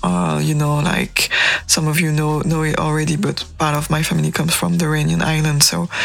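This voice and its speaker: A woman against noticeable background noise. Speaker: radio host. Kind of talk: radio DJ patter. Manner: warm, chatty, conversational; relaxed, casual, light humor.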